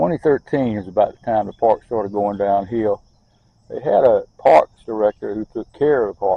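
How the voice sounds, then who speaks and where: A man with a Southern US accent talks at a moderate pace. His voice is fairly low, with ordinary pitch variation. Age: 70s. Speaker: local park advocate. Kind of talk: casual monologue. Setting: outdoors. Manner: halting.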